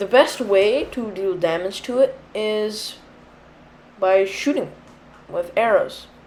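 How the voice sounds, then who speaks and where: Her pitch fairly high with ordinary variation, a woman speaks with long, frequent pauses. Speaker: gaming youtuber. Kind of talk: tutorial. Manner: casual, hesitant with fillers.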